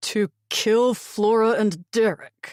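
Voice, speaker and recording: Here is a female-sounding, put-on character voice. Its pitch is fairly high for a woman. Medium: read story. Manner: curt, forceful.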